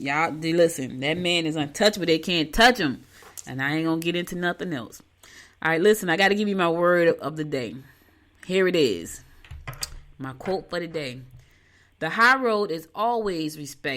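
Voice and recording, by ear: Her tone is fairly bright, and her intonation is lively. This woman has a low pitch and keeps a moderate pace.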